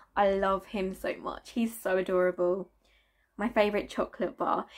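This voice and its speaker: A woman with a Southern English accent at a fairly quick pace. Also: quiet background. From South East England. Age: 20s. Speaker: family vlogger. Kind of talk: casual talk to camera. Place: home room.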